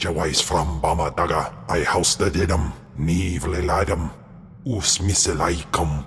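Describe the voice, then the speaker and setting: A man uses a put-on character voice with a very deep, low pitch and a fairly slow pace. Light background noise sits behind him. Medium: video game.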